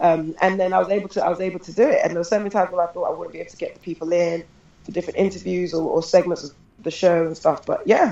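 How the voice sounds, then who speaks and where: A woman talks at a very fast pace with big swings in loudness. Noticeable background noise runs underneath. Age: 30s. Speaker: lecturer and film producer. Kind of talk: casual interview.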